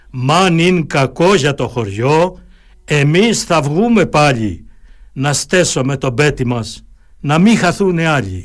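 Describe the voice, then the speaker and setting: His pitch swings very widely. The man talks at a very slow pace. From Crete, Heraklion area. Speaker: lawyer and local historian. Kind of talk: radio interview. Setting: studio. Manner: formal.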